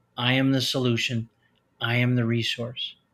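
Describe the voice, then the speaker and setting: Very clean audio of a man with an American accent, the background silent. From US Midwest, Chicago. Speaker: retired pediatrician and author. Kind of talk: interview.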